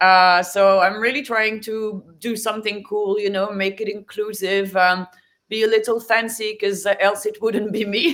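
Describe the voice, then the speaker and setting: With a French accent, a woman speaks at a moderate pace. Her pitch is fairly high and her intonation fairly even. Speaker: NFT artist and graphic designer. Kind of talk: interview.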